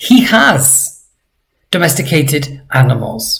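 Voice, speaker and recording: A somewhat breathy voice with very wide pitch swings. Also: man. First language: not Georgian. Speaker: language teacher. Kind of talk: tutorial. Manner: slow, deliberate pronunciation of target words.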